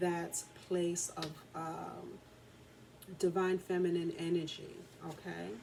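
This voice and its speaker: The speech comes at a fairly slow pace in a flat monotone. Background noise is noticeable. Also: woman. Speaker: tarot and oracle card reader. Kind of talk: oracle card reading. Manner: soft-spoken, talking very low.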